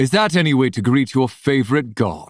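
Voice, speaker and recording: Putting on a character voice, the man keeps a medium pitch and a moderate pace. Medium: read story. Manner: brash, teasing.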